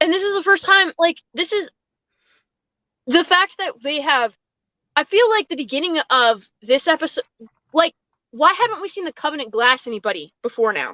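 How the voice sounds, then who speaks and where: A woman uses a raised, projected voice at an extremely high pitch, with a bright, sharp tone and very wide pitch swings. She leaves long, frequent pauses, and the sound is dry and close with no echo. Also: moderate pace. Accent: American. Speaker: show reviewer on panel. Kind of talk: casual panel discussion.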